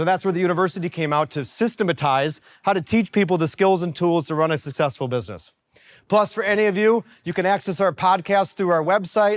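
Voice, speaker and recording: Very fast, animated speech with ordinary pitch variation, on a very clean recording with a silent background. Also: man, high pitch for a man. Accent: American. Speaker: business coach. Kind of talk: workshop presentation.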